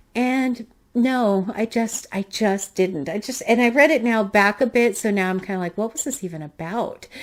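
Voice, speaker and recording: A woman talks at a fairly high pitch with ordinary pitch variation. She barely pauses at all. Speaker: booktuber. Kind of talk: casual book review monologue. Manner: fast.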